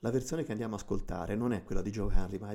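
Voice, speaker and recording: A man with a Tuscan accent, fairly low pitch, ordinary pitch variation and a dark, mellow tone, on a very clean recording with a silent background. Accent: Tuscan, drawn-out C and G sounds. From Tuscany. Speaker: radio host. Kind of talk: music show presenting. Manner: hesitant with fillers.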